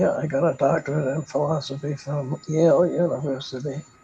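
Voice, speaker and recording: The voice moves at a fairly slow pace in a monotone, flat intonation. Music plays in the background. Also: man. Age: 80s+. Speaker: retired philosophy professor. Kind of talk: interview. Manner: halting, with many repetitions.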